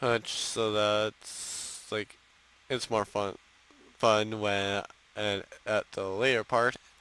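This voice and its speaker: Quiet and very slow, a man speaks at fairly low pitch in a monotone, flat intonation with long, frequent pauses. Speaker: gaming streamer. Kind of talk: gameplay commentary. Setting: at home.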